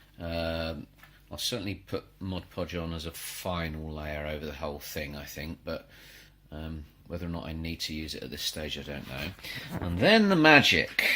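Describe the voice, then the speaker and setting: A man talks at a moderate pace with a very deep, low pitch. His intonation is monotone and flat. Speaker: maker and crafting YouTuber. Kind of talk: crafting tutorial. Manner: quiet.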